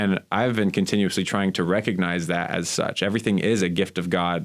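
With an American accent, a man talks at a fairly quick pace in a very deep, low pitch and fairly even intonation. The recording is very clean with a silent background. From Miami, Florida. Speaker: divinity graduate student. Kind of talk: casual chat.

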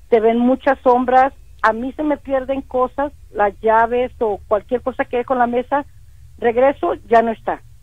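High-pitched and fairly even in tone, a woman talks at a fairly slow pace. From Matamoros, Tamaulipas, Mexico. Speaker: caller. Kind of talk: phone-in story.

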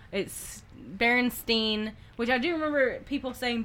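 A woman is speaking. She has a slight Southern US accent. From US South. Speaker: podcast co-host. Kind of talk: casual chat. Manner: low-energy, joking.

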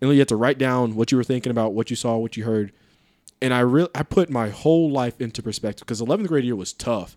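Very fast speech from a man at a medium pitch, dry and close with no echo. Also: ordinary pitch variation. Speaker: podcaster. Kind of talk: casual chat.

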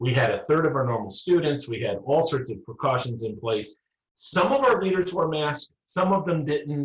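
A somewhat breathy, fairly high male voice at a moderate pace, with lively intonation. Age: 50s. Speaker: rural pastor. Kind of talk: casual chat.

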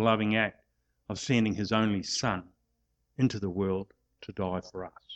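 Against a quiet background, a man with an Australian accent speaks at a moderate pace and a fairly low pitch. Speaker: preacher and sports chaplain. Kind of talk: sermon. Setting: church.

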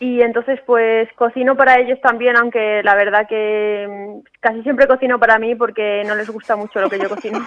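At a moderate pace with hardly any pauses, a woman speaks in a flat monotone at a fairly high pitch. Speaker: professional golfer. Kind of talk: interview. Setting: at home.

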